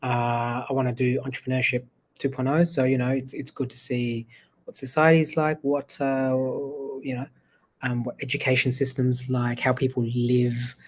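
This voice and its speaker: Somewhat breathy, monotone, flat delivery with an Australian accent at a moderate pace. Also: man, medium pitch for a man. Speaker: AI entrepreneur. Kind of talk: casual chat.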